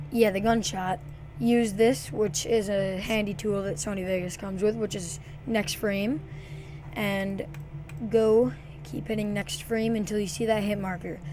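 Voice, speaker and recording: A woman speaks at a fairly slow pace, with long pauses coming often. Room echo is audible, and background noise is noticeable. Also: medium pitch for a woman, ordinary pitch variation. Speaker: gaming video editing tutorial maker. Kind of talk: screen-recorded software tutorial. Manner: halting, many fillers.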